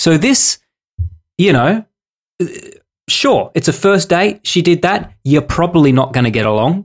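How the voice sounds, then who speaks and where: A man with an Australian accent, high in pitch with very wide pitch swings, at a fairly slow pace with long, frequent pauses and very even loudness. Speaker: podcast co-host. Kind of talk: casual chat.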